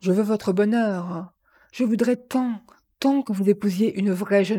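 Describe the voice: Against a quiet background, the speaker reads aloud plainly with ordinary pitch variation.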